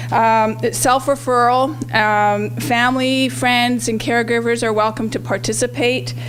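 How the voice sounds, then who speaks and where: A woman at a fairly slow pace, with hardly any pauses and very even loudness, over noticeable background noise. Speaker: health program trainer. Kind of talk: presentation at community event. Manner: halting, many fillers.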